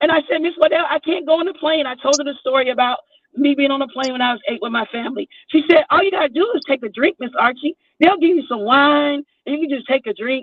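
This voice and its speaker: In an American accent, a woman talks at a very fast pace and high pitch with ordinary pitch variation. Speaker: YouTube livestreamer. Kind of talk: casual chat.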